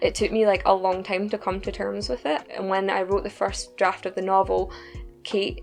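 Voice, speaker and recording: Music plays in the background as a woman speaks at a fairly quick pace in a Scottish accent. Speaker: novelist. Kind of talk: interview answer.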